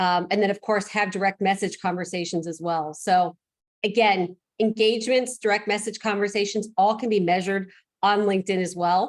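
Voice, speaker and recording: A woman speaks at a medium pitch. Her intonation stays fairly even. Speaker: real estate investor, guest speaker. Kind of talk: online presentation. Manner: fast.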